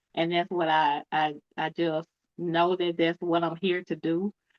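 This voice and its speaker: In a strong Southern US accent, a woman speaks at a fairly low pitch with monotone, flat intonation. Her pace is fairly slow. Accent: deep Cajun-like Southern US. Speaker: author and cancer advocate. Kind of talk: podcast interview.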